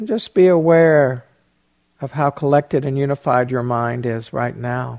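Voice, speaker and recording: A man speaks at a fairly slow pace, his pitch fairly high. He has a plain, everyday voice. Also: ordinary pitch variation. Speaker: meditation teacher. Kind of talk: guided meditation. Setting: meditation retreat hall. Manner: slow, soothing; soft, gentle pacing with pauses.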